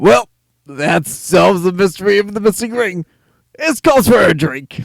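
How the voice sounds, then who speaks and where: A man performs a put-on character voice at a high pitch for a man. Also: moderate pace. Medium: read story. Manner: sarcastic, cocky.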